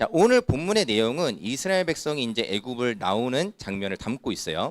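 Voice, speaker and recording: The very clean recording, with a silent background and a dry, close sound free of echo, captures a man talking at a fairly quick pace with very wide pitch swings. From Incheon, South Korea. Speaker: youth pastor. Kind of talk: sermon. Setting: church youth service. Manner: conversational, frequent rhetorical questions.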